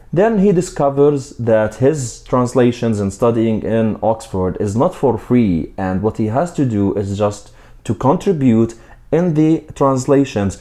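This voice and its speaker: Lively intonation carries a dark, mellow tone delivered with a non-native accent. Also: man. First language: not English. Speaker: book reviewer. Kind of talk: book review.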